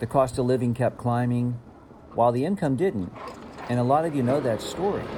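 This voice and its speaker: With an American accent, a man speaks at a fairly quick pace and medium pitch, using ordinary pitch variation and long, frequent pauses over noticeable background noise. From United States. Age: 60s. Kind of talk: travel vlog narration.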